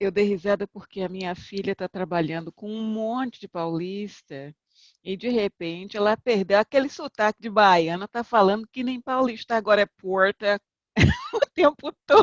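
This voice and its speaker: A woman with a medium pitch and ordinary pitch variation speaks at a moderate pace, with big swings in loudness. The sound is dry and close with no echo, against a quiet background. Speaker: conference interpreter. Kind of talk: panel discussion.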